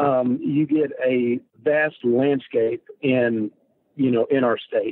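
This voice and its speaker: Speaking at a very slow pace with very even loudness, a man talks with a strong Texan accent. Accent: thick Texan. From Texas. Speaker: hunter. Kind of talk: casual interview chat.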